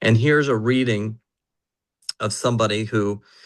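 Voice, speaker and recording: A man with an unremarkable speaking voice and fairly low pitch talks with fairly even intonation over a quiet background. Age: 60s. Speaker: neurofeedback practitioner presenting to clients. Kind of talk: online presentation.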